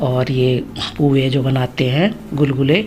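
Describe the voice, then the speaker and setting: A woman's voice with a very deep, low pitch. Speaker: family vlogger. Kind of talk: vlog narration. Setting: at home during puja. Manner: casual, chatty.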